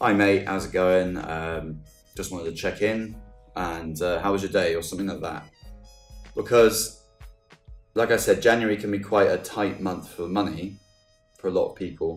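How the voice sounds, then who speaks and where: Music plays in the background as a man with a fairly low voice talks at a moderate pace, leaving long, frequent pauses. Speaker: podcast host. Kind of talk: casual podcast talk.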